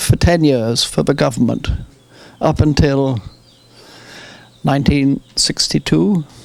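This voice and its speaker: Here a man speaks in an English accent. His pitch variation is ordinary. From England. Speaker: retired farmer, war veteran. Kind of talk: interview. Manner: halting.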